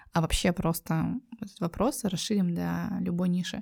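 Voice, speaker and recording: Dark and mellow, a woman's fairly low, somewhat breathy voice comes through a very clean recording with a silent background. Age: 30s. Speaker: entrepreneur. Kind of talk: interview.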